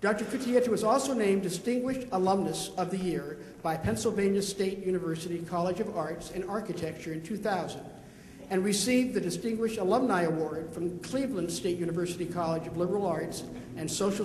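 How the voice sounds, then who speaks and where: Audible room echo and noticeable background noise accompany talking at a fairly quick pace. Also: man, high pitch for a man, ordinary pitch variation. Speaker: panel moderator, music teacher. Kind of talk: panel introduction. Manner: fast.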